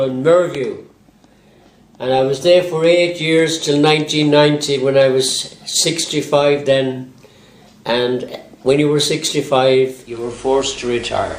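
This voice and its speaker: A man with an Irish accent speaks at a fairly slow pace and fairly high pitch, with fairly even intonation and audible room echo. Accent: Irish (Galway). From Ireland, Galway. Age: 80s+. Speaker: retired local resident. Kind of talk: personal reminiscence. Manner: halting.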